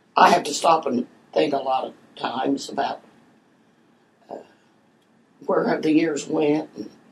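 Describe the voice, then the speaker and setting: With an American accent and a very deep, low pitch, a woman speaks at a moderate pace with long, frequent pauses against noticeable background noise. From southern Ohio, Portsmouth area. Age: 90s. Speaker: oral history interviewee. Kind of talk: interview.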